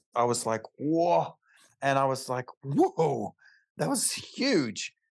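Recorded with a dry, close sound and no echo, a man speaks at medium pitch with an Australian accent. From Australia, Alice Springs (outback). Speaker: chiropractor. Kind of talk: casual interview chat.

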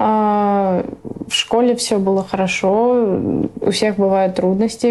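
Her voice sits at a medium pitch, and this woman's intonation is monotone and flat. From Russia, raised by Afghan refugee parents. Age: 20s. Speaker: refugee. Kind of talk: interview.

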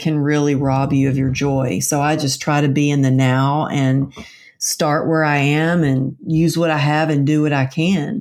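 In a very clean recording with a silent background, a woman with a Texan accent speaks at a fairly slow pace in a very deep, low pitch with fairly even intonation. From Texas. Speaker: author and motivational speaker. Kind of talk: interview.

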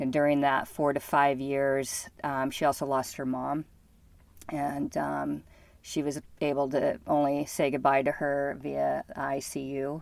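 A woman speaks fairly slowly in a very deep, low voice with monotone, flat intonation. The recording is very clean, with a silent background. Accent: American. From Bozeman, Montana. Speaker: Navy veteran and former diplomat, physical therapist. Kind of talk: casual interview. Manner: halting, many fillers.

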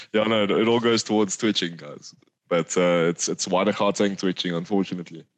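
Very fast speech from a man, pitched fairly low. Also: fairly even intonation. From South Africa, KwaZulu-Natal Midlands. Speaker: university student and birder. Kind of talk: casual chat.

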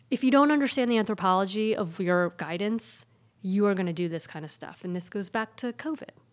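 Big swings in loudness mark a woman's unremarkable speaking voice, medium in pitch, with lively intonation at a fairly quick pace. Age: 40s. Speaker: pediatrician and public health physician. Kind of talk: casual chat.

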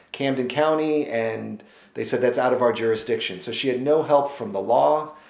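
At a moderate pace and medium pitch, a man speaks with ordinary pitch variation amid audible room echo. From Missouri Ozarks. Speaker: author. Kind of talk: interview. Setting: on location in Asheville.

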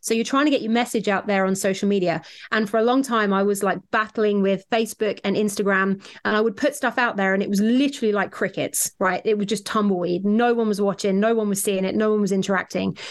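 Someone with a southern English accent talks at a very fast pace with hardly any pauses, very even loudness and fairly even intonation. The background is quiet. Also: woman, medium pitch for a woman. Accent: southern English British. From southern England. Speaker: weight loss coach. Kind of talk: casual interview chat.

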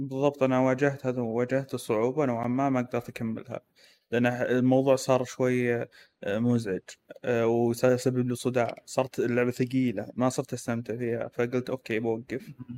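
This man has a dark, mellow tone and a medium pitch, delivered in a flat, monotone way. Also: moderate pace. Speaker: podcast co-host. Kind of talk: casual chat about video games.

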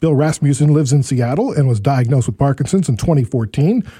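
A man's very fast, somewhat breathy voice, fairly high in pitch, with lively intonation and a dark, mellow tone. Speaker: podcast host living with Parkinson's. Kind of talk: interview.

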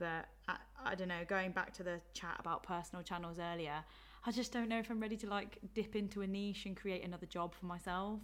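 A woman with an English accent talks at a fairly quick pace in a medium pitch, her intonation fairly even. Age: 20s. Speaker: social media influencer and YouTuber. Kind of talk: casual chat. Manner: laughs often.

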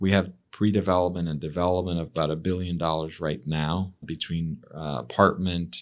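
In a very clean recording with a silent background, a man with a very deep, low voice talks at a moderate pace in a flat monotone. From Mexico City, Mexico. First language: Spanish. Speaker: real estate CEO guest. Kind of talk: casual interview conversation.

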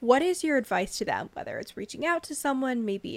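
Heard in a very clean recording against a silent background, a woman speaks with an American accent. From California, Bay Area. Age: young. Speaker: podcast host, psychology student. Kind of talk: scripted podcast intro; casual interview.

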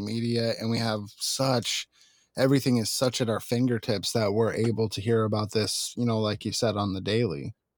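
Over a silent background on a very clean recording, a man uses a normal speaking voice at medium pitch, with fairly even intonation and a moderate pace. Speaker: podcast host. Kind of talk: casual interview.

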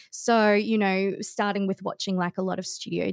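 A woman talks at a moderate pace with an Australian accent and fairly even intonation. The sound is dry and close, with no echo. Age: 30s. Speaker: streamer and content creator. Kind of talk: casual chat. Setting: remote podcast studio.

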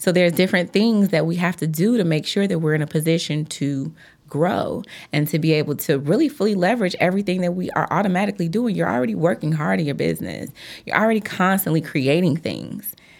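A woman with an American accent and vocal fry, at a very fast pace with ordinary pitch variation, in a very clean recording with a silent background. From Chicago, South Side. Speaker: attorney, law firm founder. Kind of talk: interview.

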